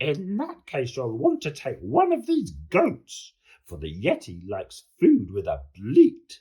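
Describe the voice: Slow and dark, a man's put-on character voice has a mellow tone, medium pitch, a slightly husky edge and very wide pitch swings.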